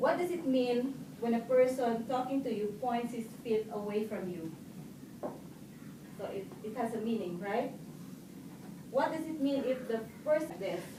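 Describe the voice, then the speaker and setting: Amid noticeable background noise, a woman speaks at a fairly slow pace with fairly high pitch, ordinary pitch variation and long, frequent pauses. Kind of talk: public speaking club speech.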